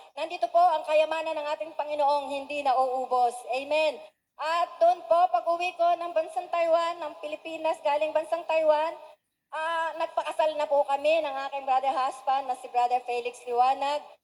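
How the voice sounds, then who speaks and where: A woman's high-pitched voice, fairly even in intonation, at a moderate pace. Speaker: church member giving testimony. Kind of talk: testimony. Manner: formal.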